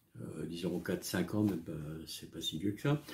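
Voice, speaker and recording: This man has a fairly low pitch. His tone is dark and mellow. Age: 60s. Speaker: health vlogger. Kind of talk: personal testimony. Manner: halting, many hesitations.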